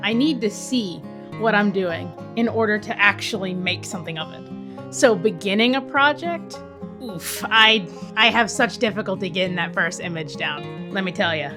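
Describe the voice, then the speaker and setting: Against music in the background, a woman with a medium pitch speaks at a moderate pace with lively intonation. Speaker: animator, artist. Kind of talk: YouTube voiceover narration.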